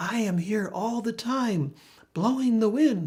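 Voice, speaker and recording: A put-on character voice comes through with fairly high pitch at a fairly slow pace. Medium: read story.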